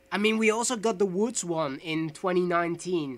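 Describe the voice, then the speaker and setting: A man with a Dutch accent speaks at a high pitch with ordinary pitch variation. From Netherlands. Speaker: gaming podcast co-host. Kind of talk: casual chat.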